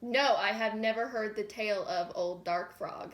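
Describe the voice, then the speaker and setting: A woman puts on a character voice at a moderate pace. Her pitch is fairly high, with ordinary variation. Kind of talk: comic overacting. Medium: comedy sketch.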